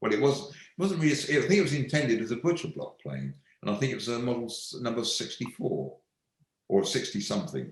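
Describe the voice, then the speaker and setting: A man with a fairly high pitch and vocal fry talks with lively intonation. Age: 70s. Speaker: woodworking tool maker. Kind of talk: live online Q&A. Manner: halting, frequent repetitions.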